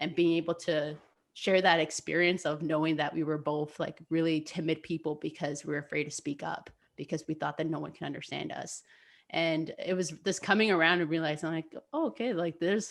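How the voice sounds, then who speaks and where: Fairly quick speech in a very clean recording with a silent background. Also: woman. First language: Spanish. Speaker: podcast co-host, youth mentor. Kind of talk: casual chat. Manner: halting, many fillers.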